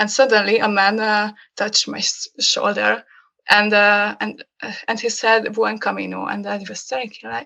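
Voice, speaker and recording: A woman with a Hungarian accent speaks at a moderate pace, her loudness swinging widely. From Hungary. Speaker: graphic designer. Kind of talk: casual chat. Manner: halting.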